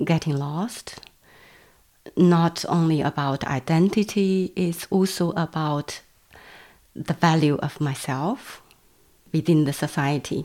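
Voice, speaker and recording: A woman speaks very slowly in a Chinese accent, her pitch very deep and low. Her tone is dark and mellow, with ordinary pitch variation. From China. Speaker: visual artist. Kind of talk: interview. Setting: at home. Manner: halting.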